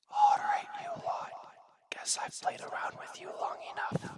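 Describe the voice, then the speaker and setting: Whispering at a fairly slow pace, the speaker puts on a character voice. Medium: read story. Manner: hissing, mocking.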